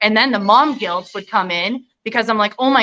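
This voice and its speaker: With a slight Canadian accent, a woman speaks in a bright, sharp tone. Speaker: nurse. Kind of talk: interview.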